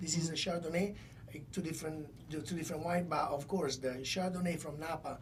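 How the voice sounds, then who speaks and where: The speaker talks at a fairly quick pace in a monotone with flat intonation. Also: man, fairly high pitch for a man. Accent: Italian. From Italy. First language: Italian. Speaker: wine company co-founder. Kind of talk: podcast interview answer. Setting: studio.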